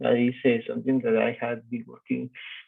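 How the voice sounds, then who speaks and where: Speech comes at a moderate tempo. It is delivered with a Spanish accent. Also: man. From Guatemala. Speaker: QA tester, course student. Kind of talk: self-introduction.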